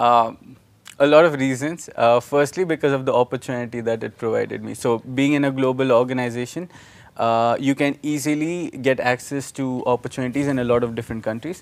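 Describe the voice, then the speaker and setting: A man at a fairly quick pace, medium in pitch, with fairly even intonation. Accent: Indian. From India, Nashik (Maharashtra). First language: Marathi. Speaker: student organization leader. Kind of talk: interview. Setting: live video stream.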